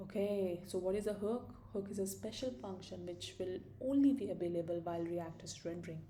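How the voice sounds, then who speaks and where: A woman at a medium pitch and a fairly quick pace, with ordinary pitch variation, audible room echo and noticeable background noise. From India. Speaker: programming tutor. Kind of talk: tutorial. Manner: casual, thinking aloud.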